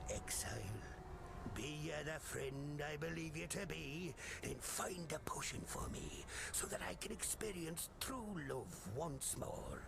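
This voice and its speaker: A man performs a put-on character voice at a fairly slow pace. Loud background noise runs underneath. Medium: game stream. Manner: salty, folksy.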